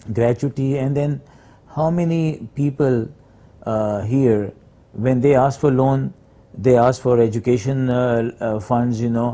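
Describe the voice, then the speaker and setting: A man at a medium pitch talks at a fairly slow pace in a dark, mellow tone. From Pakistan, Peshawar. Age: 60s. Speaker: hospital founder and doctor. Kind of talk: interview. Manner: halting, many fillers.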